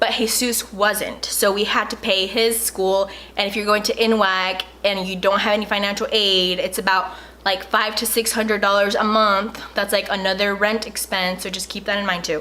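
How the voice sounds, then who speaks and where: There is noticeable background noise behind a woman speaking at a medium pitch. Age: young. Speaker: YouTuber. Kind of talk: casual advice vlog. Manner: fast; animated.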